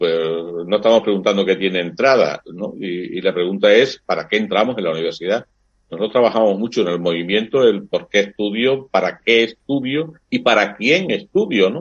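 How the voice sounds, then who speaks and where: Lively in intonation, a man speaks at a moderate pace with a fairly low pitch. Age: 60s. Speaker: priest and university lecturer. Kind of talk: interview. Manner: hesitant fillers, reflective.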